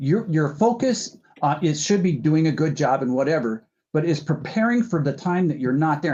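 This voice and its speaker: A man with an unremarkable speaking voice talks at a fairly quick pace, with fairly high pitch and lively intonation. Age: 60s. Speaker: podcast host. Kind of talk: casual chat.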